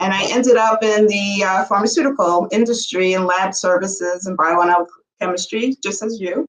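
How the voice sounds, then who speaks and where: In a New York accent, a woman speaks at a fairly quick pace with a medium pitch and ordinary pitch variation. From New York City. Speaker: bioanalytical chemistry entrepreneur. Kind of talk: podcast interview.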